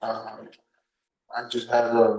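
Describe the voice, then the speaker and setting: A man speaks quietly at a medium pitch with a Spanish accent and a dark, mellow tone. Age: 20s. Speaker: defendant. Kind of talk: courtroom testimony. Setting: courtroom. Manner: halting.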